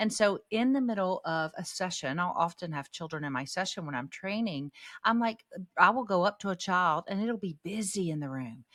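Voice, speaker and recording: Speaking at a moderate pace, a woman with a medium pitch uses lively intonation and an animated tone. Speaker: podcast host and parenting speaker. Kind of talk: casual chat. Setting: video call. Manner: loud.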